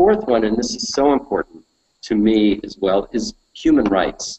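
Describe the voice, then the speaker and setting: His voice sits at a medium pitch. This man has an American accent. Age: 50s. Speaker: political talk show host. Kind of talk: political commentary on live web show. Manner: animated.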